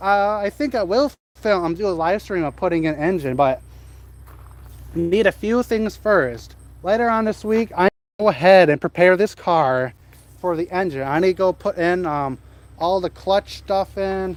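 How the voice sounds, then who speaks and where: Long, frequent pauses fill the speech of a man with a high voice. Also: lively intonation, moderate pace. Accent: Wisconsin. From central Wisconsin. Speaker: car hobbyist streamer. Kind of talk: casual live stream chat.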